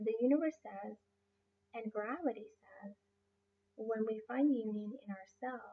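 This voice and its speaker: Using a Spanish accent, a woman talks at a fairly slow pace with ordinary pitch variation. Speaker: life coach and massage therapist. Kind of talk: motivational talk. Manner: halting, many fillers.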